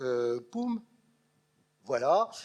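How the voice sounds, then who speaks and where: Very wide swings run through the pitch of a man's voice. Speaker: lecturer, retired schoolteacher. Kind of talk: public lecture. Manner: animated.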